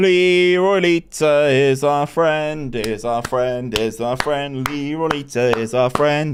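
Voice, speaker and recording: Here a man with a Bristolian accent speaks at medium pitch with lively intonation. The recording is very clean, with a silent background. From England, Bristol. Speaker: gaming streamer. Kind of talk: live game stream commentary with chat. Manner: animated.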